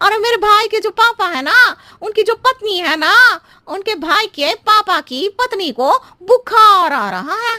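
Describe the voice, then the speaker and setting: Using a cartoonish character voice with an extremely high pitch, a female-sounding speaker goes at a moderate pace. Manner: roundabout, riddling, chatty.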